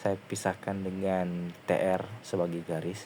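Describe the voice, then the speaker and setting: This soft-spoken voice has a dark, mellow tone. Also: man. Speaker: student. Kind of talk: tutorial. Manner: halting. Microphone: quiet recording.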